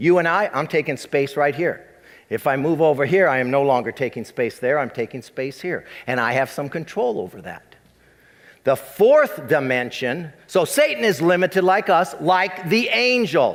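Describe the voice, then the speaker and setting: A man's normal speaking voice, fairly high in pitch, with lively intonation and a moderate pace. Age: 60s. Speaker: pastor. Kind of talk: sermon.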